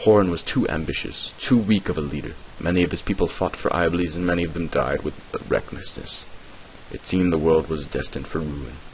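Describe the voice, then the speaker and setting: A man talks at a fairly quick pace in a very deep, low voice with ordinary pitch variation. Noticeable background noise runs underneath. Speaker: amateur lore narrator. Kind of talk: read fantasy lore narration.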